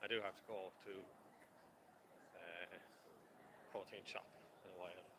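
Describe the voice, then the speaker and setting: In a Dublin accent, a bright, sharp voice moves at a moderate pace in a monotone, flat intonation, with big swings in loudness and long, frequent pauses. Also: man, very deep, low pitch for a man. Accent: Irish, Dublin. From Ireland. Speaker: travel vlogger. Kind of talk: live walking tour vlog. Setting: outdoors, walking city streets. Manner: casual, slightly awkward.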